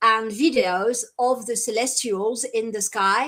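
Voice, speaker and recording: Spoken at a fairly slow pace with ordinary pitch variation, the voice carries a French accent. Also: woman. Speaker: contactee, event organizer. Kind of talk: live stream interview. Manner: halting, many fillers.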